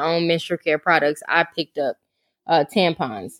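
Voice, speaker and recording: With a plain, everyday voice, a woman speaks at a moderate pace in a fairly low pitch, the sound dry and close with no echo on a very clean recording with a silent background. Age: 30s. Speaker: business owner. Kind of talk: casual chat.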